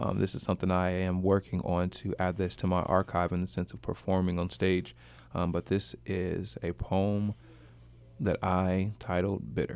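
A man with a very deep, low pitch and ordinary pitch variation talks at a moderate pace on a very clean recording with a silent background. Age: 30s. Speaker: radio host. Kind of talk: casual chat. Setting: studio.

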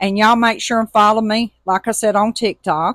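A woman speaks at a moderate pace with an Alabama accent. The very clean recording has a silent background and a dry, close sound with no echo. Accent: US Southern (Alabama). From Alabama, Tuscaloosa. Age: 50s. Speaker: podcast host, motivational. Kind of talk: casual monologue. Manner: animated.

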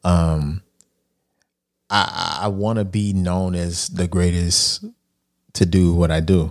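A man with an American accent speaks at a very slow pace, with a very deep, low pitch and monotone, flat intonation. Long, frequent pauses fill a very clean recording with a silent background. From Texas. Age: 40s. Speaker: life coach and author. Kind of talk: podcast interview.

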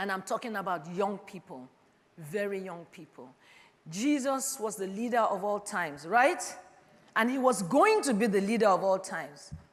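A woman's animated, medium-pitched voice with lively intonation, big swings in loudness, a moderate pace and audible room echo. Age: 50s. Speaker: preacher. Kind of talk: sermon.

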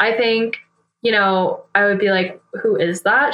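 In an American accent, a woman speaks at medium pitch in an ordinary speaking voice. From US Northeast, New Hampshire. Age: 20s. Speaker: ultrarunner and environmental engineer. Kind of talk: casual interview.

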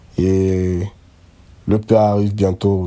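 In a fairly low voice, a man speaks with flat, monotone intonation. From Cameroon, Yaoundé. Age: 20s. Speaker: rapper. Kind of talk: recorded self-introduction.

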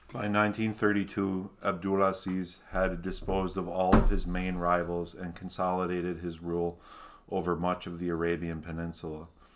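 Speaking at a moderate pace in a Minnesota accent, a man uses a very deep, low pitch and a flat, monotone intonation. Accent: Minnesotan American. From Minnesota, US. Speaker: podcast co-host. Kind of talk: reading aloud history notes.

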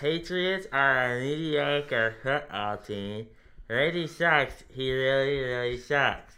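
In a put-on character voice pitched low-to-middle, the speaker mumbles at a very slow pace. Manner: mumbled, hard to make out.

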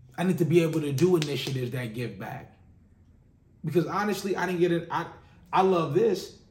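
Audible room echo surrounds a man with a high pitch and ordinary pitch variation. He leaves long, frequent pauses. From Los Angeles, South Central. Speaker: podcast host, music industry. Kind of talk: monologue. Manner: casual, filler-heavy.

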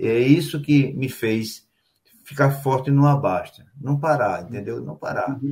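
A fairly high-pitched, somewhat breathy man's voice with a dark, mellow tone at a very slow pace. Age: 60s. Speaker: show host and table football organizer. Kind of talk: casual chat. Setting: live stream.

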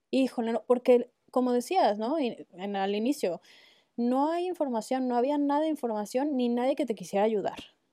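Over a very clean recording with a silent background, a woman with a high pitch and a dark, mellow tone speaks at a moderate pace with lively intonation. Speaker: ceramic artist. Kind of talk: casual chat.

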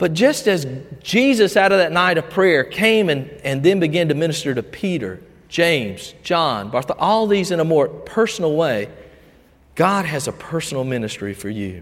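A man in a Southern US accent, very wide pitch swings and audible room echo. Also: fairly high pitch for a man, moderate pace. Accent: Southern US (Georgia). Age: 50s. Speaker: pastor. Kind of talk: sermon. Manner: halting.

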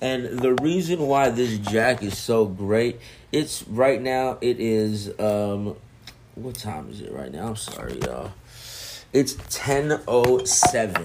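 A man's relaxed voice at a medium pitch and a very slow pace, with ordinary pitch variation and big swings in loudness. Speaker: podcast host reviewing music. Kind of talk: casual solo album review. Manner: laid-back, relaxed.

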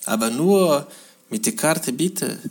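The speech is very slow and carries a non-native accent. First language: not German (speaking German). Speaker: podcast host. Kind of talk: casual monologue. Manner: halting.

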